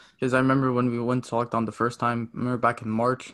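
Against a quiet background, a man with a Canadian accent talks in a monotone, flat way. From Canada. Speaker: amateur podcaster.

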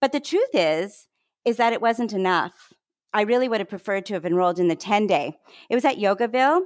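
On a very clean recording with a silent background and a dry, close sound with no echo, a woman with a Canadian accent speaks at a fairly quick pace with lively intonation in an unremarkable speaking voice. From Canada. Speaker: wellness consultant and health behavior scientist. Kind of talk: interview conversation.

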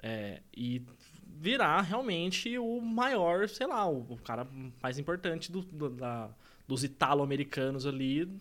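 Pitched fairly high, a man talks at a fairly slow pace. His pitch swings very widely. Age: 20s. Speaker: podcast co-host. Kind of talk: casual chat.

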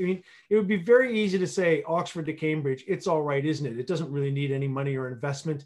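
Speaking at a very fast pace, a man uses lively intonation in a fairly high pitch. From Canada. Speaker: regional economic development executive and planner. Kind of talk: radio interview. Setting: remote call from home region. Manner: animated.

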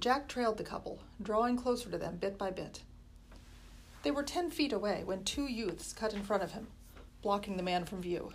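Intonation is lively at a moderate pace. It is a plain, everyday voice. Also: woman, medium pitch for a woman. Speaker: school librarian reading aloud. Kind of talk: horror audiobook reading, spooky first-chapter narration.

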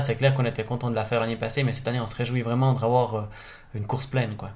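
A man races along at a very fast pace with a medium pitch. His intonation is monotone and flat. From French-speaking Switzerland, Gruyère. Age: 30s. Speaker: race organizer. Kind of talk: interview.

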